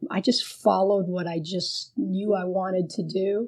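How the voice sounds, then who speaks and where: Very slowly, a woman speaks at a medium pitch in a dark, mellow tone. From Miami, Little Havana Cuban community. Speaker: foundation investment executive. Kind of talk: interview.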